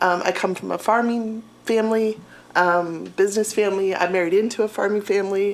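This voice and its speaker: Monotone and flat, a woman with an Appalachian accent talks at a fairly quick pace and medium pitch. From Appalachian Ohio (Athens). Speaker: physical education teacher. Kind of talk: self-introduction at public board meeting. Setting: city board meeting.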